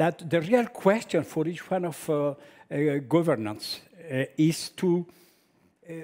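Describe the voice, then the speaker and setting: With a dark, mellow tone and a fairly high pitch, a man talks at a fairly slow pace, using lively intonation and long, frequent pauses. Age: 60s. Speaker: professor. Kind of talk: lecture. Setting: stage with audience. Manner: halting, many filler sounds.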